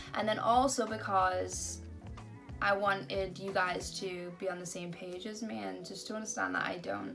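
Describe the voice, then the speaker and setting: A woman with an American accent at a moderate pace, big swings in loudness, music playing in the background. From Britain. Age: young. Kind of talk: casual talk to camera.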